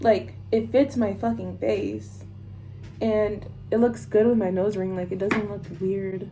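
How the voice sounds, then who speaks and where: Speaking at a fairly slow pace, a woman is heard with audible room echo and noticeable background noise. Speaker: beauty vlogger. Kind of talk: casual makeup tutorial chat. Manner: rambling, casual.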